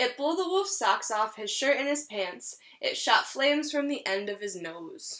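A woman speaks at a fairly slow pace in a high pitch. Her intonation is lively and her tone bright and sharp.

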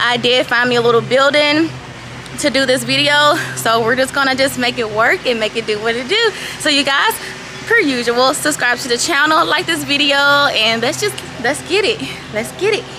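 A woman speaks in a raised, projected voice at a moderate pace. Her intonation is lively, with music in the background. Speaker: vlogger. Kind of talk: casual vlog chat. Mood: nervous but upbeat.

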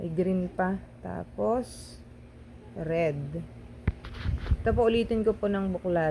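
A woman at a very slow pace. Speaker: vlogger. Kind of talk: shopping vlog narration. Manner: animated.

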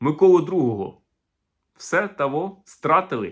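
In a very clean recording with a silent background, a man speaks in an animated tone with very wide pitch swings. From Ukraine. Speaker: historian and video blogger. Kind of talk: video commentary.

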